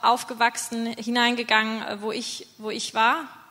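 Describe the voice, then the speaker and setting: Amid noticeable background noise, a woman with a high pitch speaks at a moderate pace in monotone, flat intonation. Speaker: mission team leader. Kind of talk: testimony. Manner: halting.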